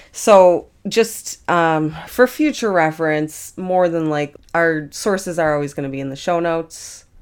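The recording is very clean, with a silent background. A woman talks at a fairly slow pace with ordinary pitch variation. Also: fairly low pitch for a woman. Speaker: podcast co-host and editor. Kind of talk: casual chat. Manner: casual, profane, animated.

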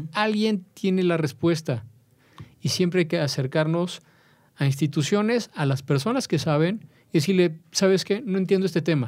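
On a very clean recording with a silent background, a man speaks at a moderate pace. His pitch is high and his intonation lively. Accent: Mexican. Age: 40s. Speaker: personal finance expert. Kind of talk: interview.

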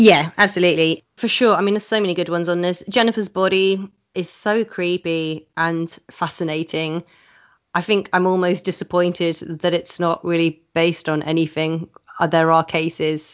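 With a southern English accent, a woman talks at a fairly low pitch with fairly even intonation. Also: moderate pace. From England, Oxford. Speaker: burlesque performer. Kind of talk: casual chat.

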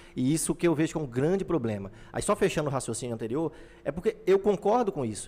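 A man rattles along at a very fast pace with very wide pitch swings. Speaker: podcast host. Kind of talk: casual chat.

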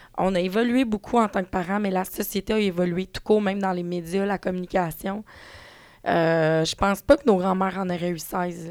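A woman's fairly even intonation in a Quebec accent. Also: medium pitch for a woman, moderate pace. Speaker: parenting blogger and author. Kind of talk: casual chat.

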